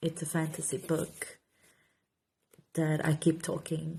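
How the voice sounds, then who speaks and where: A woman with a Portuguese accent, very deep and low in pitch, in a dark, mellow tone with monotone, flat intonation at a fairly slow pace. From Portugal. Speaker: author and content creator. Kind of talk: casual Q&A vlog. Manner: halting, repeats words.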